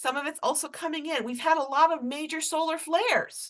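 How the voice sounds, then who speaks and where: With a Rhode Island accent, a woman talks at a fairly quick pace in an extremely high pitch, her intonation lively. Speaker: tarot reader. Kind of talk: tarot energy reading. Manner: casual, hesitant with frequent fillers.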